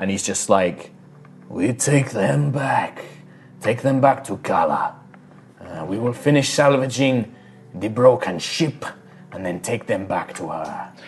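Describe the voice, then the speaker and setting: A man puts on a character voice at medium pitch, speaking fairly slowly with long, frequent pauses. Background noise is clear. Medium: actual play. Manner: terse, broken phrasing.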